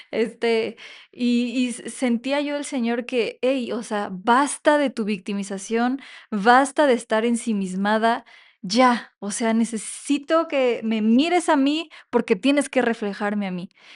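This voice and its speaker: At a very slow pace, a woman speaks with a fairly high pitch and ordinary pitch variation against a quiet background. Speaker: podcast co-host. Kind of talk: casual chat.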